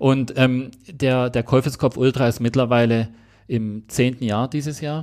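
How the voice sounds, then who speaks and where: A man talks fairly slowly with a Swabian accent and fairly even intonation. The recording is very clean, with a silent background. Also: medium pitch for a man. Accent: Swabian, noticeable. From Swabia, southwest Germany. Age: 40s. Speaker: ultramarathon runner. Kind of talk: casual interview.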